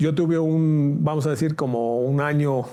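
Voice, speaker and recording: A man speaks with ordinary pitch variation. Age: 60s. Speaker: judge. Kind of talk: interview. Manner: halting.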